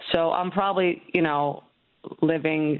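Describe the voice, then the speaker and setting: Her very deep, low pitch carries ordinary variation as the woman speaks at a fairly slow pace. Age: 50s. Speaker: caller. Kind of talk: casual chat. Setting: phone call. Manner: halting.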